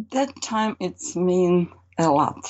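In a Russian accent, a woman speaks with a fairly low pitch. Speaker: painter. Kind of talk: interview. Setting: video call. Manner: halting.

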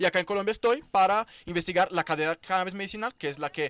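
A man with a Portuguese accent talks at a very fast pace in a high pitch with ordinary pitch variation, the sound dry and close with no echo. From Brazil, São Paulo. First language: Portuguese (speaking Spanish). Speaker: cannabis economy researcher. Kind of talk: casual chat. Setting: at a festival event.

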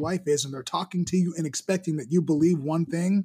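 The man's voice sits high in pitch, with ordinary pitch variation. The recording is very clean, with a silent background. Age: 40s. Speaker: filmmaker. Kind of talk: casual chat.

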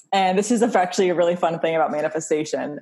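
A woman with an unremarkable speaking voice talks in an American accent. Her pitch is medium, with ordinary variation. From North Carolina, Wilmington. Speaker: witch and spiritual teacher. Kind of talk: casual chat.

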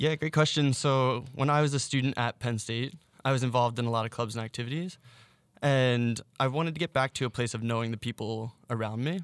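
An unremarkable speaking voice with an American accent, fairly quick and fairly even, in a very clean recording with a silent background and dry, close sound with no echo. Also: man, medium pitch for a man. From Philadelphia suburbs, US. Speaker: Instagram storyteller. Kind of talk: interview.

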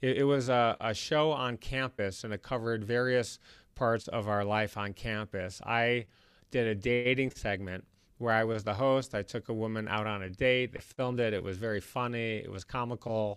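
In a very clean recording with a silent background, a man with an American accent and an unremarkable speaking voice talks at a moderate pace, medium in pitch, with fairly even intonation. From Michigan, US Midwest (Detroit). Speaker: investor and entrepreneur. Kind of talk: interview.

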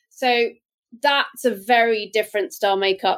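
Talking at a fairly slow pace, a woman with a British accent uses a fairly high pitch and ordinary pitch variation. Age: 50s. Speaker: beauty brand founder and entrepreneur. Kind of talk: interview. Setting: video call.

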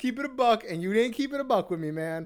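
In an animated tone, a man talks at a very fast pace. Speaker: podcast co-host. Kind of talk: casual banter, hip hop talk. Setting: studio with mics. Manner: joking, crude, animated.

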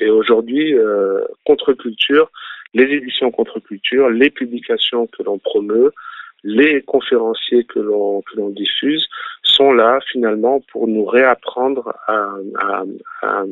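Here a man talks at a very slow pace and medium pitch. His intonation is fairly even, with long, frequent pauses. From France (from age 9), born in Algeria. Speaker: local political activist leader. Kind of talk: phone-in interview. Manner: halting.

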